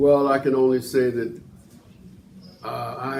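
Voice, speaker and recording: Noticeable background noise sits behind this recording. A man talks at a fairly slow pace and a medium pitch. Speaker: former boxer, senior program participant. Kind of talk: testimony.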